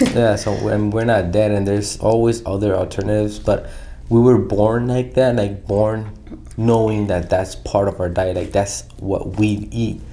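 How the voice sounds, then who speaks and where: Over noticeable background noise and audible room echo, a man speaks with a fairly low pitch and fairly even intonation. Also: moderate pace. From Southern California (Pomona). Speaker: podcast co-host. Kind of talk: casual chat.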